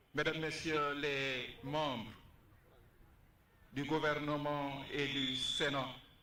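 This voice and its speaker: Long, frequent pauses break up a man's fairly slow speech, fairly high in pitch and monotone, flat in intonation, with audible room echo. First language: French or Wolof. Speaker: university official. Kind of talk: formal speech.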